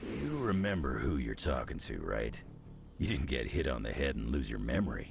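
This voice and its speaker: Using a put-on character voice, a man speaks at a moderate pace. Background noise is clearly heard. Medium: video game. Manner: gruff, blunt.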